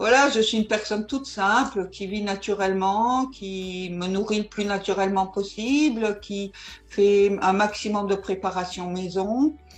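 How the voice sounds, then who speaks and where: A woman with a normal speaking voice at a medium pitch talks at a fairly slow pace with fairly even intonation. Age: 60s. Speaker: network marketing investor. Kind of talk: interview.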